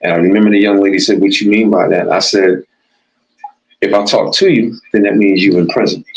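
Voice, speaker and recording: Keeping very even loudness, a man with an ordinary speaking voice talks at a fairly quick pace and fairly low pitch with fairly even intonation. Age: 60s. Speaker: DJ and former boxer, cancer survivor. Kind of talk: casual interview chat.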